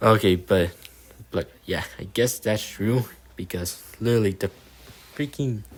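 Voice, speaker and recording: A man speaks in a somewhat breathy voice. His pace is moderate, with ordinary pitch variation. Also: very clean recording, silent background. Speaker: YouTuber reacting to a comment thread. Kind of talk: reading aloud and commenting. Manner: halting, many fillers and restarts.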